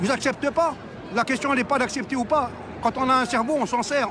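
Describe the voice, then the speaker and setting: With noticeable background noise, a man speaks at an extremely high pitch in an animated tone. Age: 60s. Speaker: street protester. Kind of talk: street interview.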